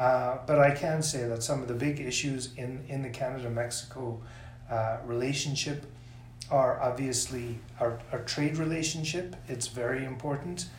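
The speech holds a fairly even intonation, with audible room echo around it. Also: man, medium pitch for a man, moderate pace. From South Africa, then Toronto from teens. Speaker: senior government official. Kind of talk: interview. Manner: halting, many repeated words.

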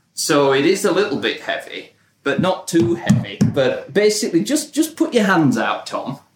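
With music in the background, a man speaks at a moderate pace, his high pitch moving in very wide swings. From Britain. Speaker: marketing professional and podcast host. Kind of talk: casual chat.

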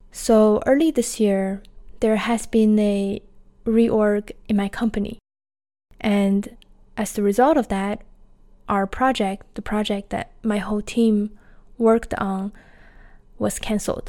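A woman with a Chinese accent talks very slowly, with long, frequent pauses. Her voice is fairly high, with a dark, mellow tone and fairly even intonation. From China. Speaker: podcaster, laid-off tech worker. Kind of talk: personal storytelling monologue.

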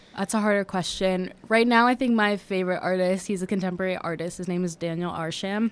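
Talking at a very fast pace with hardly any pauses, a woman with an American accent keeps a medium pitch and fairly even intonation. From US, Washington DC. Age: 20s. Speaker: art history student. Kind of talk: casual interview chat. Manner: hesitant, many fillers.

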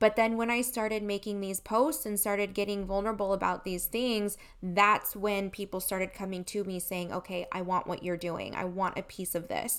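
A woman's ordinary speaking voice at medium pitch, moderate in pace with hardly any pauses and fairly even intonation, on a very clean recording with a silent background. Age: 30s. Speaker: network marketing businesswoman. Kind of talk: interview, personal testimony.

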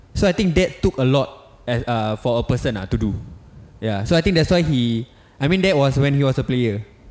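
Using lively intonation, a man with an unremarkable speaking voice talks at a fairly quick pace and a medium pitch. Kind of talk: casual chat.

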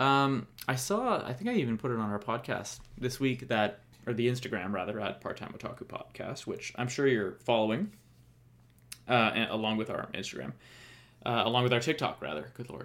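The man's voice sits at medium pitch with ordinary pitch variation. He speaks at a fairly quick pace. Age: 30s. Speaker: podcast host. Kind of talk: casual solo podcast talk. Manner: halting, filler-heavy.

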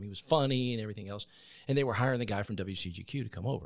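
A man speaks with an American accent. His pace is very fast. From US South, Columbus, Georgia area. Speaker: veteran and former news director. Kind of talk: interview. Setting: podcast studio.

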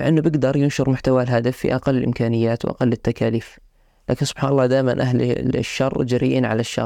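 A man's dark, mellow voice at a medium pitch, monotone and flat in intonation, at a fairly quick pace. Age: 20s. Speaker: podcast host, medical student. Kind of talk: solo podcast introduction. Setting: sitting on a couch, simple home setup.

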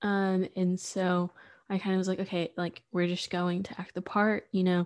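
In an American accent, a woman with a medium pitch speaks at a fairly slow pace on a very clean recording with a silent background. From East Texas. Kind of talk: personal testimony. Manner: casual, many fillers.

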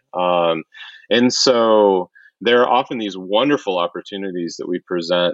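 A man with an American accent. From US Midwest (Wichita, Kansas). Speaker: professor. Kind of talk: casual interview. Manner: hesitant, many fillers.

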